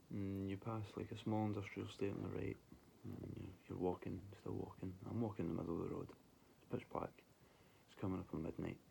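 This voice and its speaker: A man speaks with a Scottish accent at a fairly quick pace. His fairly low voice has a dark, mellow tone and a flat monotone. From Scotland. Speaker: vlogger telling paranormal stories. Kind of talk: casual personal storytelling.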